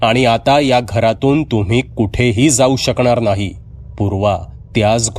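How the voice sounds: This natural reading voice carries ordinary pitch variation from line to line.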